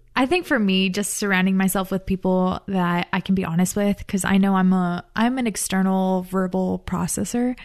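A woman talks in a plain, everyday voice at a medium pitch and moderate pace, with hardly any pauses. Her intonation is fairly even and her loudness very even. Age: 20s. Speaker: grad student and panelist. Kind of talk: casual discussion. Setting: studio.

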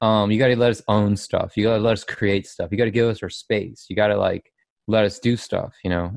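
A man speaks in a fairly low voice against a quiet background. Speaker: fan artist. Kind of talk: casual chat. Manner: halting.

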